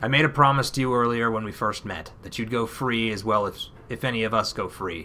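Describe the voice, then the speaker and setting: A man's raspy, put-on character voice, fairly low in pitch and fairly quick, over clear background noise. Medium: game stream.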